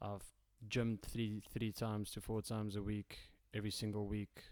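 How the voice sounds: A man with a fairly low pitch, a slightly mellow tone, monotone, flat intonation and a fairly slow pace.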